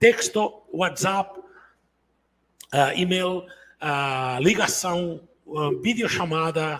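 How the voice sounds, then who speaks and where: With long, frequent pauses, a man speaks at a very slow pace and a high pitch, his pitch varying in an ordinary way. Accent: Catalan. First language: Catalan (speaking Portuguese). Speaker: entrepreneur and business coach. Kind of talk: online business talk.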